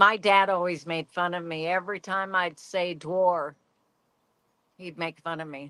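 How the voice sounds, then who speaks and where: A woman with a fairly low voice speaks at a fairly slow pace, her loudness swinging a lot. Her tone is bright and sharp, with monotone, flat intonation. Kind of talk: casual chat.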